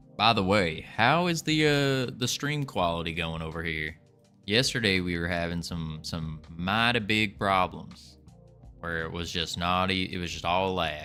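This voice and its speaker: A put-on character voice in a drawling Southern US accent, with lively intonation at a moderate pace and faint music in the background. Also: man, very deep, low pitch for a man. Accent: southern American twang. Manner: put-on, drawling.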